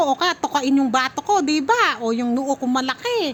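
A woman talks with lively intonation and an animated tone over noticeable background noise. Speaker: family vlogger. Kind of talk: vlog narration.

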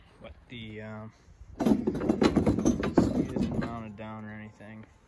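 The intonation is monotone and flat, at a fairly low pitch. A man speaks over noticeable background noise. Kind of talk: casual vlog chat. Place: garden. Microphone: phone near.

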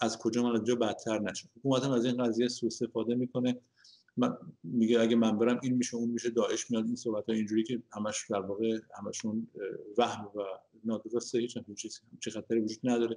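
Speaking very fast, a man keeps a flat, monotone intonation and a dark, mellow tone. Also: quiet background. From Iran. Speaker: engineer and economist, opposition activist; interview guest. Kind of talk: interview. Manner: halting. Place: home room. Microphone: video call.

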